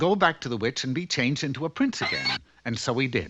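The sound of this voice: A man's cartoonish character voice, bright and sharp in tone with a slightly husky edge, big pitch swings and a fairly quick pace. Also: medium pitch for a man.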